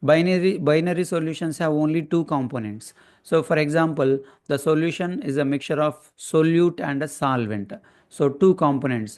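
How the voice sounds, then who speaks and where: A man at fairly high pitch, ordinary pitch variation, against a quiet background. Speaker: chemistry teacher. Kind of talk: lecture. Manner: slow; halting.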